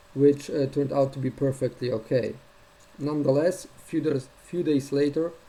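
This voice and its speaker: A man talks at a moderate pace with a non-native accent. His pitch is fairly high and his intonation fairly even. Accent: heavy non-native. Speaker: gun owner sharing a fix. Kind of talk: first-person tutorial video. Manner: somewhat halting. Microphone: built-in notebook cam.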